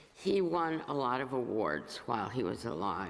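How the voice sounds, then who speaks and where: A woman talks at a fairly slow pace, and audible room echo can be heard around her. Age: 80s+. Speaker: lay congregation member reading poetry. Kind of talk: introduction and poetry reading at a church service. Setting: church service before congregation. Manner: halting, with filler sounds.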